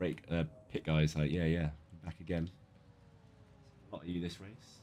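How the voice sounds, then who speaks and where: A man with a British accent speaks at a moderate pace in a very deep, low voice with a dark, mellow tone. His intonation stays monotone and flat while his loudness swings a lot. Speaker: sim racing streamer. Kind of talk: live gameplay commentary. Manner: casual, chatty.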